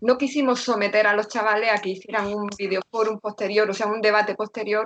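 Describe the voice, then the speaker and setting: With an Andalusian accent, a woman speaks at a fairly quick pace in a fairly high pitch. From Andalusia, Granada. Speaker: secondary school teacher. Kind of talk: panel discussion on video call.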